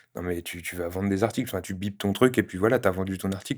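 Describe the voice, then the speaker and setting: On a very clean recording with a silent background, a man speaks with fairly even intonation at a very deep, low pitch. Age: 20s. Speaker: freelance web developer. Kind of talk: casual interview.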